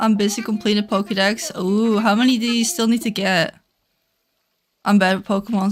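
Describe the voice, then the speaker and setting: A woman with a Dutch accent, fairly high pitch, ordinary pitch variation and a moderate pace. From Netherlands. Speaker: gaming streamer. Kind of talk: casual live stream chat. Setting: live stream. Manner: chatty, rambling.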